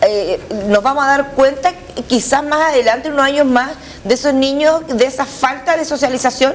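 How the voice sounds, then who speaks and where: With a Chilean accent, a woman speaks in a high voice. There is noticeable background noise. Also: ordinary pitch variation, moderate pace. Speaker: radio host. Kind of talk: radio interview.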